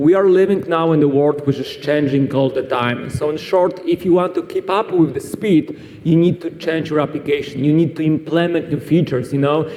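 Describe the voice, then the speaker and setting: A man with a Polish accent talks at a moderate pace with hardly any pauses. His pitch is fairly high and his intonation fairly even, over noticeable background noise. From Poland. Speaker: cloud solutions architect, conference speaker. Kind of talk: conference talk. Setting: stage with audience at a conference.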